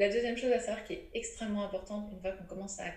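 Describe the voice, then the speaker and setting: With noticeable background noise and audible room echo, a woman speaks very fast at a medium pitch. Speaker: menstrual cycle educator and author. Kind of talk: interview. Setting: remote recording.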